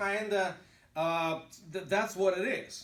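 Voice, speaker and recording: A Russian accent at a fairly slow pace. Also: man. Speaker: pastor. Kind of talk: lecture. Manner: halting.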